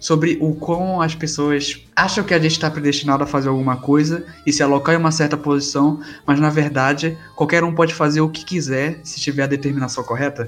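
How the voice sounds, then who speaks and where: A man's fairly quick, monotone and flat delivery, with music in the background. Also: fairly high pitch for a man. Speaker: podcast co-host. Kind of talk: casual chat.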